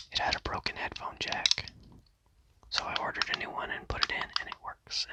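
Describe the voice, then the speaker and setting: A relaxed whisper at a moderate pace over noticeable background noise. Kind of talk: ASMR talk to camera about controllers. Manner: whispered, relaxed.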